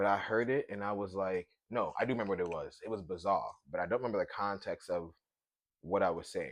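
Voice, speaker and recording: The speaker has a strong Brooklyn accent. The pace is fairly quick. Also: man. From Brooklyn, New York City. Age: 30s. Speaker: podcast host. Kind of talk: casual chat. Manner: animated.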